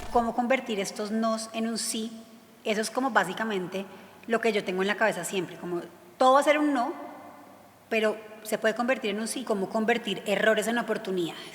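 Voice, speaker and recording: Noticeable background noise sits behind a woman with a fairly high pitch and ordinary pitch variation. She talks at a fairly quick pace but with long, frequent pauses. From Colombia. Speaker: former actress, prison reform activist. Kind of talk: interview answer.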